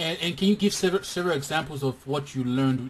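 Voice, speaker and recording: A somewhat breathy man's voice, medium in pitch with ordinary variation, at a fairly quick pace. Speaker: interviewer. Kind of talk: interview.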